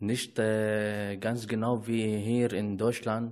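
A man with a medium pitch speaks very slowly with an Arabic accent. The background is quiet. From Syria, Aleppo. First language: Arabic (speaking German). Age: 20s. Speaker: refugee. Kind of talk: casual chat. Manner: halting.

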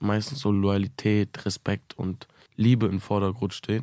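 The sound is dry and close, with no echo. A man speaks at a fairly low pitch in a dark, mellow tone. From Münster, Germany. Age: 20s. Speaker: musician. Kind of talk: interview.

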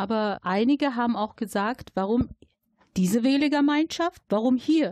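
With an ordinary speaking voice, a woman talks at a moderate pace in a fairly high pitch with lively intonation, the sound dry and close with no echo. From Germany, Dortmund (Ruhr area). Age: 40s. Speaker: local election candidate and social worker. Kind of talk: interview.

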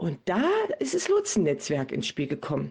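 A woman speaks at a fairly slow pace with vocal fry. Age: 40s. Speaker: volunteer addiction recovery guide. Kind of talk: interview.

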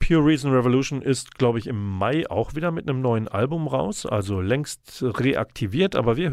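A man's pitch swings very widely. He keeps to a moderate pace. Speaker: radio host. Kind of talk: radio dj patter. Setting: radio studio. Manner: chatty, warm; playful, wordplay.

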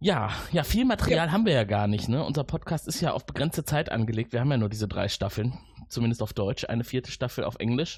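The pace is very fast. The voice is somewhat breathy. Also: man, medium pitch for a man, lively intonation. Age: 40s. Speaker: podcast host. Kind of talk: casual interview.

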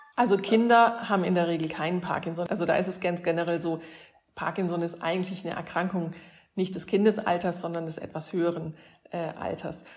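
Fairly quick, fairly even speech from a woman with a fairly low pitch and an unremarkable speaking voice. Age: 50s. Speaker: neurologist. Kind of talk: explaining to children.

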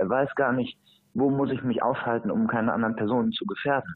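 A man talks in a plain, everyday voice at a medium pitch. His pace is moderate, with ordinary pitch variation. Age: 20s. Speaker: surfing association president and surf instructor trainer. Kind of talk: interview.

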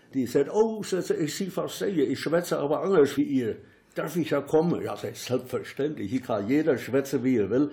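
Somewhat breathy, dark, mellow tone in a Siegerland accent, with lively intonation at a moderate pace. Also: man, fairly high pitch for a man. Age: old. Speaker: local dialect enthusiast and workshop leader. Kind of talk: interview and reading aloud dialect poems.

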